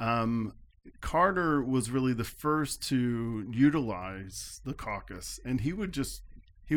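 This man, with an American accent, speaks at a medium pitch with ordinary pitch variation and an unremarkable speaking voice. The recording is very clean, with a silent background. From upstate New York. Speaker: political science professor. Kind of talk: interview.

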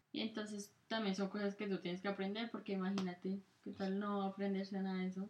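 Speaking very fast, a woman keeps a medium pitch and a monotone, flat intonation. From Colombia. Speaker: podcast co-host. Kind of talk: casual chat.

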